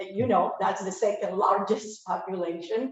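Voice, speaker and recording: A woman speaks with a Spanish accent. Her medium pitch moves with ordinary variation. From Cuba, later raised in Spain and US. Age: 60s. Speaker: audience member. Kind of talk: personal testimony. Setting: speaking into camera at library talk.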